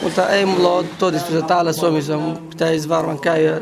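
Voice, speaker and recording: Amid noticeable background noise and audible room echo, a man with a fairly high pitch speaks at a moderate pace with fairly even intonation. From Iraqi Kurdistan. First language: Kurdish (speaking Finnish). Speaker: language student. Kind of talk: casual interview.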